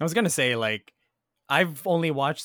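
A man talks with lively intonation at a moderate pace, recorded dry and close with no echo against a very clean, silent background. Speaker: podcast host. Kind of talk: casual chat. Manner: animated, joking.

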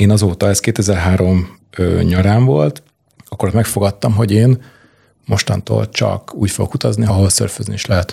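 At a moderate pace, a man speaks quietly in a fairly low, somewhat breathy voice with a dark, mellow and calm tone. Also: ordinary pitch variation. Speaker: film producer. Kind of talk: casual interview chat. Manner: calm, quiet.

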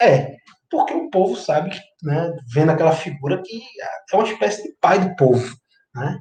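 Here a man talks in a dark, mellow tone with ordinary pitch variation. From Brazilian Northeast (Recife area). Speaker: history commentator. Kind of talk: interview.

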